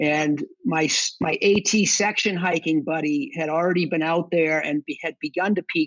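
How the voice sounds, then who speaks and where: Speaking in a strong Boston accent, a man talks with a high pitch and ordinary pitch variation. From Boston area, Massachusetts. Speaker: combat veteran and section hiker. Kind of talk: podcast interview.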